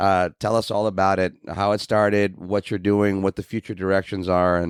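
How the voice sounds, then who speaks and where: Speaking at a fairly quick pace, a man uses a very deep, low pitch and fairly even intonation, the sound dry and close with no echo. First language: not English. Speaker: podcast host, behavior analyst. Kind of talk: podcast interview.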